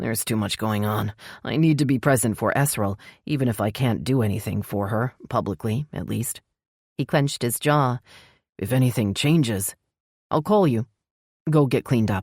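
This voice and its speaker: Using a put-on, growling character voice at a medium pitch, a man speaks at a moderate pace with long, frequent pauses in a very clean recording with a silent background. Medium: read story. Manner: low, growling.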